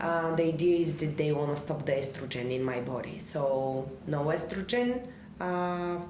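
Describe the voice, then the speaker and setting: A woman with a Bulgarian accent and a very deep, low pitch speaks at a moderate pace with ordinary pitch variation and audible room echo. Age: 30s. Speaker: filmmaker and actress. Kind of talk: interview conversation.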